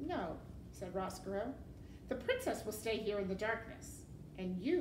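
The clip features a natural reading voice.

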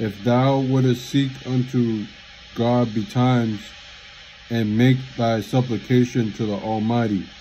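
A man speaking very slowly with fairly even intonation over light background noise. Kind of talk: scripture reading aloud. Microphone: phone near.

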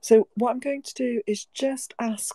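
In a dry recording with no echo and a quiet background, a woman speaks in a dark, mellow tone. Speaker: host of an online audio event. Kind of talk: hosted discussion introduction.

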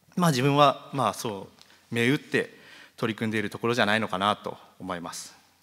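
This man has a medium pitch, a bright, sharp tone and ordinary pitch variation, speaking at a fairly quick pace. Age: 20s. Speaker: farmer. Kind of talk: presentation. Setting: stage with audience.

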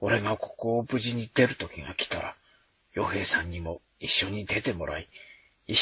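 Someone is reading aloud in a natural voice, and the pitch variation stays ordinary.

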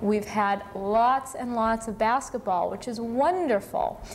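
A woman at a fairly slow pace, with ordinary pitch variation and light background noise. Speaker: cable access station host. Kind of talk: live call-in show host talk. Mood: friendly, upbeat. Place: studio. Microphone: lapel.

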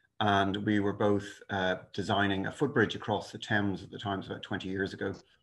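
Moving at a fairly quick pace, a man speaks in a fairly low, monotone voice with flat intonation. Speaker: lecturer. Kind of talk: lecture. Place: home room. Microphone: video call.

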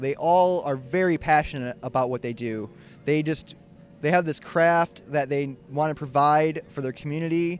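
A dry recording with no echo, where speech moves at a fairly slow pace with fairly even intonation over faint background music. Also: man. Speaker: show host. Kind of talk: casual host commentary. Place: market. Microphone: handheld.

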